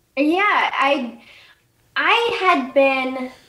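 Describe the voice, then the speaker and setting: The speaker, with an American accent, is heard with audible room echo. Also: woman. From United States. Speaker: political podcaster, Congress expert; political podcaster. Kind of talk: casual interview.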